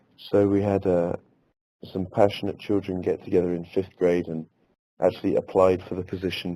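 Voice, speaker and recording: A man with an English accent talks at a fairly quick pace, his pitch very deep and low. His dark, mellow tone stays monotone and flat. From England. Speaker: elementary school teacher. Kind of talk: webinar presentation. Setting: webinar.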